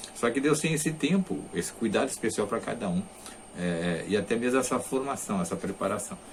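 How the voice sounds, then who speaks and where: A man talks at a medium pitch and moderate pace, his pitch swinging very widely. Audible room echo surrounds his voice. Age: 60s. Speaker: religious teacher. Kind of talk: lecture. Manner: halting.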